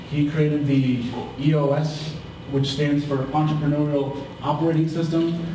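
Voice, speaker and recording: A man's fairly high voice, flat and monotone, at a moderate pace, with noticeable background noise and audible room echo. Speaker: marketing speaker. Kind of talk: presentation to live audience. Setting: live event in a pub. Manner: halting with repetitions.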